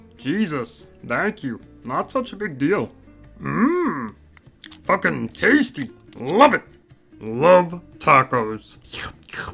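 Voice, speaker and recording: A put-on character voice at a middle pitch goes at a very slow pace with long, frequent pauses. Faint music plays in the background. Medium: read story. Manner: aggressive, irritated.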